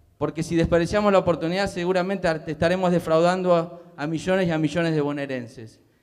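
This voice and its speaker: Against a quiet background, a man with a high pitch talks at a fairly quick pace with fairly even intonation. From Buenos Aires province, Argentina. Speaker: public ombudsman; public panelist. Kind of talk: speech at panel. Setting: theatre stage with audience. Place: stage. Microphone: handheld.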